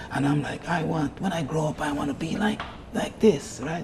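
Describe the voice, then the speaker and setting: A man speaks at a fairly quick pace with lively intonation and a fairly high pitch, over noticeable background noise. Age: 60s. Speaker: health and fitness coach. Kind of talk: TV interview.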